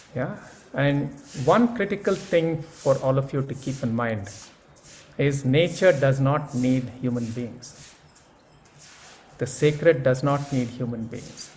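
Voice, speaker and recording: Somewhat breathy and fairly high-pitched, a man speaks at a fairly slow pace with long, frequent pauses, and audible room echo surrounds him. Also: ordinary pitch variation. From India. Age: 70s. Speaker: speaker at an academic conference. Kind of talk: keynote talk; answering audience questions. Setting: conference session with audience.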